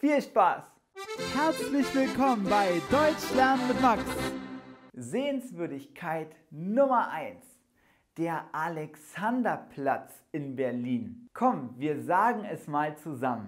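Over a quiet background, a man speaks at a very slow pace with very wide pitch swings. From Germany. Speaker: German teacher. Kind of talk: language lesson. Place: studio. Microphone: lapel.

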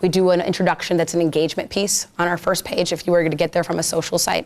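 A woman with a fairly low pitch talks at a very fast pace. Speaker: social media marketing speaker; speaker. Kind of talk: presentation to a live audience. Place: meeting room.

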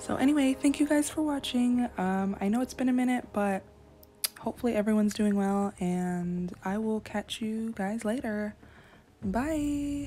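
Her voice sits at a fairly high pitch for a woman, somewhat breathy and dark and mellow in tone, with ordinary pitch variation at a moderate pace. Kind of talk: casual gaming commentary. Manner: excited, animated.

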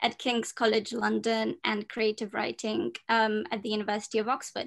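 Against a quiet background, a woman talks at a fairly quick clip. Her delivery is monotone and flat, with vocal fry. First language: Romanian. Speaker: journalist and panel moderator. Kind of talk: moderated panel discussion. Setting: video call. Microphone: video call.

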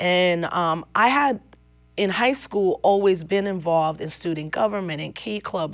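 Pitch variation is ordinary. The pace is fairly slow. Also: woman, quiet background. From New York, the Bronx and Westchester County, Puerto Rican family; New York. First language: Spanish. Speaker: activist; interviewee. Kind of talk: interview. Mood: reflective, storytelling. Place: studio.

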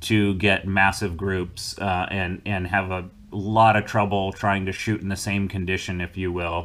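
At a moderate pace, a man speaks with a fairly low pitch and fairly even intonation. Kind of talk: explanatory commentary. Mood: relaxed, occasional laughs. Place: home room.

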